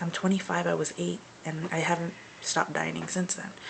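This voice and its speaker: A woman whispers. Noticeable background noise sits behind her. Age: 20s. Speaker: vlogger. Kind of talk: personal video diary. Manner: whispering; hesitant, many fillers.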